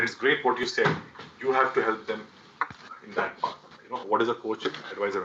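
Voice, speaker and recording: A man speaks at a fairly quick pace, with long, frequent pauses. Background noise is noticeable. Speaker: startup mentor and workshop speaker. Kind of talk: masterclass talk.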